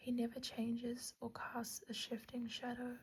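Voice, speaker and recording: This soft-spoken delivery unfolds at a fairly slow pace. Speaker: ASMR creator. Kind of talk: scripture reading.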